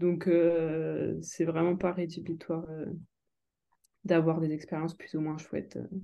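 A woman speaks at a very slow pace with a fairly low pitch and monotone, flat intonation, leaving long, frequent pauses. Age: 20s. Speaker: psychomotor therapy student and yoga practitioner. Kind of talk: interview. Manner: hesitant, many fillers.

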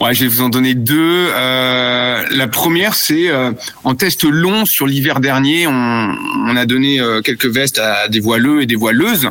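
A man at medium pitch and a very slow pace, with ordinary pitch variation, very even loudness, and noticeable background noise. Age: 40s. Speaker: product manager for sailing clothing. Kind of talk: interview. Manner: hesitant, many fillers.

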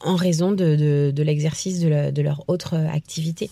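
A woman's dark, mellow tone moves at a fairly slow pace, its pitch varying in an ordinary way. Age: 30s. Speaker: former English teacher. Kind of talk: testimony.

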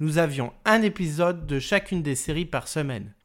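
Lively intonation marks an ordinary speaking voice at a moderate pace, heard on a very clean recording with a silent background. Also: man. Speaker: podcast host. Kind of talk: scripted narration.

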